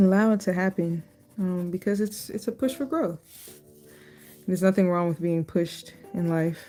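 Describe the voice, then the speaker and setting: Music plays behind a soft-spoken woman. She leaves long, frequent pauses. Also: medium pitch for a woman, ordinary pitch variation, moderate pace. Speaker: art YouTuber. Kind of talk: casual drawing vlog talk. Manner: quiet, soft-spoken.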